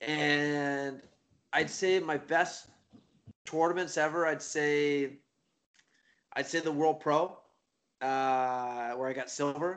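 A man with a Maritime Canadian accent speaks very slowly, with long, frequent pauses. His voice is fairly high and his intonation fairly even. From Nova Scotia, eastern Canada. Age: 30s. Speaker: jiu-jitsu competitor and instructor. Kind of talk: casual interview chat.

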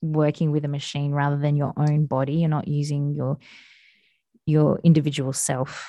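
Over a quiet background, a woman speaks in an Australian accent at a moderate pace. Her very deep, low pitch and dark, mellow tone stay monotone and flat. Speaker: podcast host. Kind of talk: casual chat.

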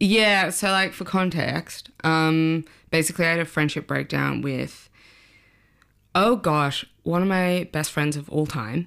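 In an Australian accent, a woman with a very deep, low pitch speaks at a fairly slow pace with ordinary pitch variation on a very clean recording with a silent background. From Sydney, Australia. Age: 30s. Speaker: journalist. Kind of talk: casual chat.

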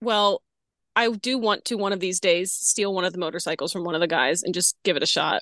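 A woman's medium-pitched voice with a bright, sharp tone, an American accent, ordinary pitch variation and a fairly quick pace, dry and close with no echo, over a quiet background. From US South, New Orleans. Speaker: circus ringmaster and performer. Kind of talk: casual chat.

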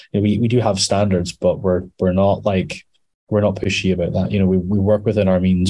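Speaking at a fairly quick pace, a man with a Scottish accent keeps a fairly low pitch and a monotone, flat intonation. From Scotland, Edinburgh. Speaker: metal musician. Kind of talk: casual interview.

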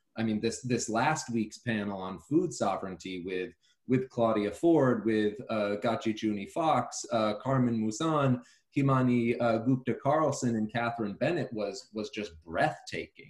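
Here is a plain, everyday voice from a man at medium pitch. He speaks at a fairly slow pace with ordinary pitch variation. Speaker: podcast host. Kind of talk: casual interview.

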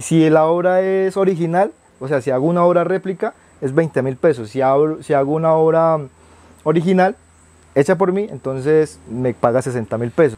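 A man talks at a moderate pace, his fairly high pitch paired with a dark, mellow tone. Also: ordinary pitch variation. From Colombian Amazon, Putumayo. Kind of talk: interview, life story.

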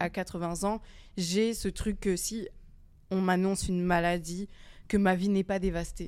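A woman speaks with a normal speaking voice at medium pitch. Her intonation is fairly even, and the recording is very clean with a silent background. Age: 20s. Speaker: youth centre podcast participant. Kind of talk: casual discussion.

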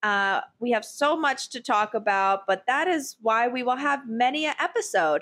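A loud, high-pitched woman at a moderate pace, with very wide pitch swings over a quiet background. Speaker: podcast host, works in higher education. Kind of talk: casual chat. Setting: home recording during thunderstorm. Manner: loud, animated.

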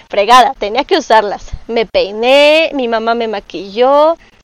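In a dry, close sound with no echo, a woman with a high pitch speaks fairly slowly, her intonation lively. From Mexico City. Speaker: cosplayer. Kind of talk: casual monologue.

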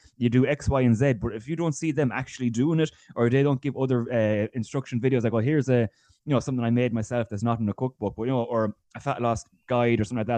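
Speaking at a very fast pace in an Irish accent, a man has a medium pitch, a dark, mellow tone and fairly even intonation, with a dry, close sound and no echo. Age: 20s. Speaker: GAA fitness coach. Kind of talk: casual interview.

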